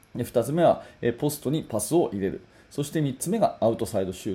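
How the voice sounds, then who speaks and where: Here a man talks at a fairly quick pace in a dark, mellow tone. His pitch swings very widely. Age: 40s. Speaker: basketball coach and podcast host. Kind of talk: solo podcast talk. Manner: casual, filler-heavy.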